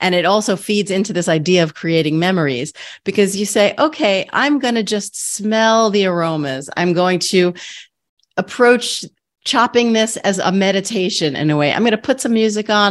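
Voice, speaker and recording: On a very clean recording with a silent background, a woman with an unremarkable speaking voice and an American accent, medium pitch, lively intonation and a moderate pace. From New York, Queens. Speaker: podcast host, nutritionist. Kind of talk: interview.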